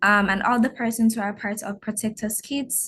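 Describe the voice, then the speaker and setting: Somewhat breathy and fairly high-pitched, a woman speaks at a moderate pace with fairly even intonation. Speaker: nonprofit volunteer. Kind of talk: panel discussion.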